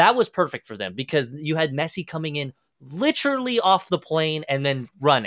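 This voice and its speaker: In a very clean recording with a silent background and a dry, close sound with no echo, a man with an American accent talks at a moderate pace in an animated tone, his fairly high pitch making very wide swings. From Kansas, US Midwest. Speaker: soccer content creator. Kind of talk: casual chat.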